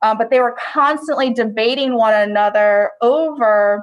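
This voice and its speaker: Her pitch varies in an ordinary way as a woman talks in a high voice. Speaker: history teacher. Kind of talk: lecture. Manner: casual, filler-heavy.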